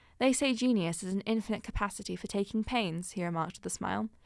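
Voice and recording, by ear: Natural-voiced reading aloud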